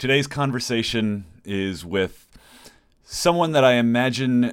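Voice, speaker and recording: A man with a plain, everyday voice speaks at a fairly slow pace with lively intonation on a very clean recording with a silent background. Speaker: podcast co-host. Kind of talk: casual discussion.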